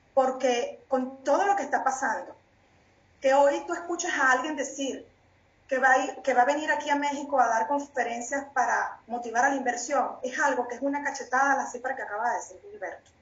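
With a Venezuelan accent, a woman speaks fairly quickly at a high pitch with ordinary pitch variation. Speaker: panelist. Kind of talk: heated political commentary. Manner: indignant, emphatic.

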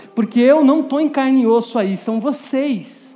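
A man talks in an animated tone with ordinary pitch variation while noticeable background noise fills the recording. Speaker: preacher. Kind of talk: sermon to a youth audience, with direct appeals, Bible exposition and a closing prayer. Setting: stage with audience.

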